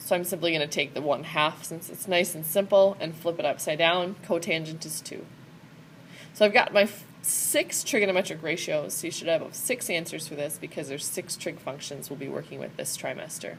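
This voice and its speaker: With a fairly low pitch, a woman speaks at a fairly quick pace, her loudness swinging widely while her intonation stays fairly even. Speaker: math teacher. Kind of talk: tutorial. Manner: fast.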